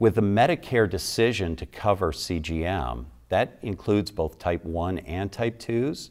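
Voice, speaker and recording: Over a quiet background, a man speaks with vocal fry and ordinary pitch variation. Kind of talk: interview answer. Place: studio. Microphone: lapel.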